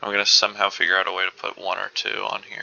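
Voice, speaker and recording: A soft-spoken man is talking. He keeps a moderate pace. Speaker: gaming video creator. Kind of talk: gameplay commentary.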